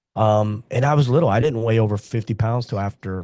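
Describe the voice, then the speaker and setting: This is a normal speaking voice with ordinary pitch variation. The sound is dry and close with no echo, over a quiet background. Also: man. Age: 60s. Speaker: martial arts school owner. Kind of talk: casual interview.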